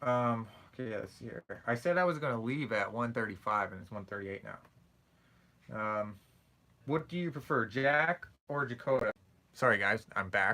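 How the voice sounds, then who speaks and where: Mumbled speech in a bright, sharp tone comes with lively intonation, big swings in loudness and long, frequent pauses. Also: man, medium pitch for a man. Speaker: streamer answering viewer questions. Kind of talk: live stream Q&A chat. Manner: fast.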